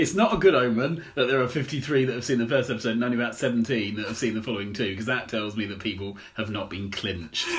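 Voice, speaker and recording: Over noticeable background noise and audible room echo, a man at medium pitch speaks very fast with hardly any pauses and ordinary pitch variation. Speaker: podcast co-host. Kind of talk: casual chat. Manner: halting.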